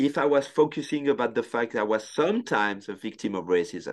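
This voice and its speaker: A man with a French accent talks at a fairly quick pace, with vocal fry and very wide pitch swings. The background is quiet. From France. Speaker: sports photographer. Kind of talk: casual interview conversation. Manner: talkative.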